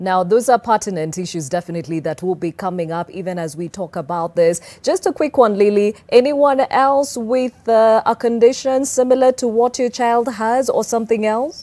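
A woman's dark, mellow voice, fairly high in pitch, at a moderate pace with hardly any pauses and lively intonation. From Kenya. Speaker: TV presenter. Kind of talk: TV talk show and news presenting. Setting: TV studio. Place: studio.

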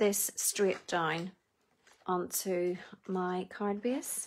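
In a Northern Irish accent, a woman speaks at a medium pitch. The background is quiet. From Northern Ireland. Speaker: craft demonstrator. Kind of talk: live tutorial. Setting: Facebook Live video, online. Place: home room. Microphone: phone near.

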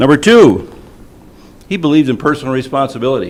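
A man with an American accent, fairly high in pitch, at a moderate pace with very wide pitch swings. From Michigan. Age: 70s. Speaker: public commenter at school board meeting. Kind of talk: public comment speech. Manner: animated.

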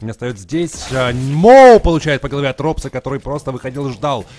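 Fairly high in pitch, a man speaks in an animated tone at a fairly quick pace. The sound is dry and close, with no echo. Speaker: esports commentator. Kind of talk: live esports commentary. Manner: fast, animated play-by-play with banter.

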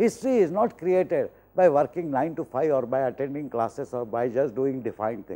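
With a dark, mellow tone, a man talks at a moderate pace, his pitch swinging very widely. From India. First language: Hindi. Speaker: professor. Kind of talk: lecture. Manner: formal. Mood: motivational, earnest. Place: studio. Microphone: lapel.

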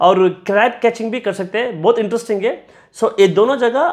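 The speech moves at a moderate pace with ordinary pitch variation. The background is quiet. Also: man. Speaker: travel vlogger. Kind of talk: travel recommendations to camera. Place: home room. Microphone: lapel.

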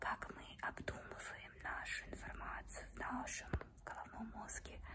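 A woman whispering at a fairly slow pace. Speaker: ASMR creator. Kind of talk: casual talk to camera. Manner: whispered. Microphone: phone near.

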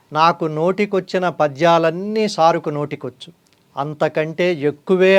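A man speaks in a plain, everyday voice at a fairly high pitch. His intonation is fairly even, over a quiet background. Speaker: journalist and channel host. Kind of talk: scripted narration.

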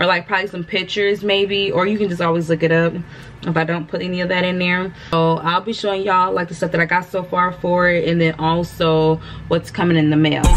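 Over light background noise, a woman with a fairly low pitch speaks fairly quickly in a flat monotone. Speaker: vlogger. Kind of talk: casual vlog chat. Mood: relaxed, chatty. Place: home room. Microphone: phone near.

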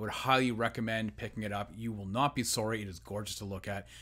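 A man speaks at a very fast pace over a quiet background. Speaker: collectibles reviewer. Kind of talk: casual review vlog chat. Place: home room. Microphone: studio mic.

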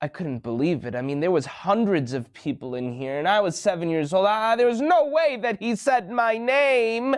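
A man speaks at a moderate pace with hardly any pauses. His pitch swings very widely over a quiet background. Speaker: children's show host. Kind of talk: storytelling to kids. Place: studio.

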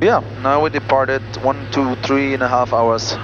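A man speaks over noticeable background noise, the sound dry with no echo. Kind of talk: casual vlog chat. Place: plane. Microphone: headset.

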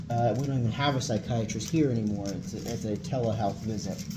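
A man's voice, with ordinary pitch variation, is heard over noticeable background noise. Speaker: military chaplain. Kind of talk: lecture. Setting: classroom with audience. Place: meeting room.

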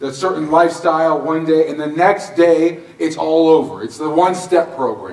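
A man with a fairly high voice talks at a moderate speed, his words echoing audibly in the room. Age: 30s. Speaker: pastor. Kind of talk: sermon. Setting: church. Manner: animated. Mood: comedic, lively storytelling. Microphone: camera far.

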